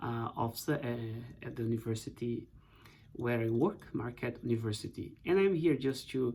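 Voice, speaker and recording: This man has a Portuguese accent and a medium pitch. He talks at a moderate pace. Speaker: professor. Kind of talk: book introduction talk. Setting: office. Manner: hesitant, many fillers.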